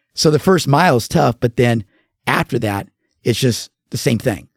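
A man at a medium pitch speaks at a moderate pace with lively intonation, recorded very cleanly against a silent background in a dry, close sound with no echo. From Southern California. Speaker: mortgage professional. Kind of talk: casual interview chat.

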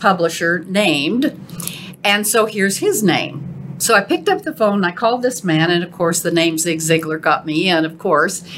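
At a moderate pace, a woman talks in an ordinary speaking voice at medium pitch with ordinary pitch variation. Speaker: podcast host. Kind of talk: casual interview chat.

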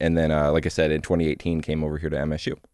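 Recorded dry and close with no echo against a silent background, a man speaks in a very deep, low voice on a very clean track. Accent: American. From Michigan. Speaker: university veterans center director and Marine veteran. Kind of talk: interview. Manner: many filler words (uh, um).

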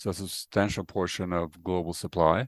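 The voice carries an American accent. The sound is dry and close with no echo, on a very clean recording with a silent background. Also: man. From Norway, then Connecticut from age 15. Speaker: climate accountability researcher. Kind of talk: casual interview.

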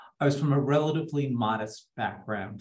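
Audible room echo surrounds a man with an American accent who speaks at medium pitch with ordinary pitch variation.

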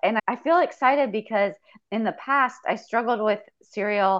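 This woman has an ordinary speaking voice. Her intonation is lively. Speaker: coaching client. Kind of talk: coaching conversation.

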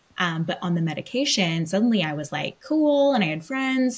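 In an American accent, a woman speaks in a somewhat breathy voice. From US West Coast, Los Angeles. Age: 20s. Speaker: podcast co-host, medium. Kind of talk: casual chat.

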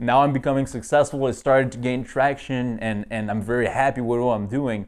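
Medium in pitch and moderate in pace, this man has a normal speaking voice with fairly even intonation. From northeast Canada. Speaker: fitness coach and entrepreneur. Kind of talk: casual interview.

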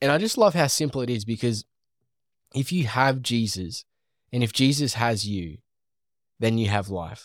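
With an Australian accent, a man talks at a moderate pace on a very clean recording with a silent background. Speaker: podcast host. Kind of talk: commentary conversation on Bible study. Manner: rambling, conversational.

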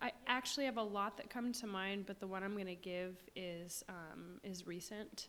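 This woman's voice sits at a medium pitch, with fairly even intonation. She speaks at a moderate pace. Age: 30s. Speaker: stay-at-home mom and church administrative assistant. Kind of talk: faith podcast conversation, personal testimony of grief. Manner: halting, many fillers.

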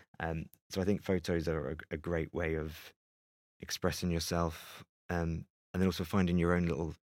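A man's very deep, low voice in a London accent, monotone and flat, on a very clean recording with a silent background. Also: dry, close sound with no echo. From London (Greenwich). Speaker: photographer. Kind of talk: interview conversation. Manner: hesitant, with fillers.

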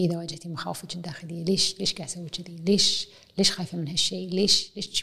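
Here is a woman with a normal speaking voice. She talks at a fairly quick pace. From Kuwait. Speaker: university professor. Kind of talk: casual chat. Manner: mixes English and Arabic.

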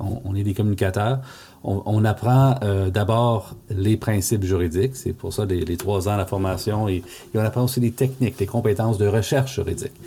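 A man with an Ontario French accent speaks in a fairly low pitch, his dark, mellow tone somewhat breathy. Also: fairly even intonation, moderate pace. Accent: Franco-Ontarian French. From Northeastern Ontario, Canada (Franco-Ontarian village). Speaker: law professor and language rights lawyer. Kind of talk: interview. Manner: hesitant, frequent fillers and repetitions.

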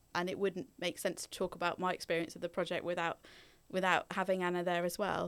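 A woman with an East Anglian accent talks at a very fast pace in a monotone, flat intonation, recorded very cleanly with a silent background. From England, Norfolk. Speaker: social worker. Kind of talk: interview, personal story. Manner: hesitant, many fillers.

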